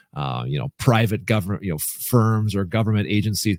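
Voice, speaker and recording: In an ordinary speaking voice, a man with a fairly low pitch talks at a moderate pace with lively intonation, in a dry, close sound with no echo. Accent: American. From US Midwest, rural Minnesota. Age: 40s. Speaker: speaker and coach, former TV weatherman. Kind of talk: podcast interview.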